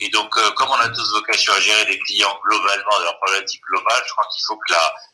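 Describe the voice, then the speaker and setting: Talking at a very fast pace, a man is heard over noticeable background noise. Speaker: lawyer, election candidate. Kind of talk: online panel debate. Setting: video call webinar. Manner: halting, many filler sounds.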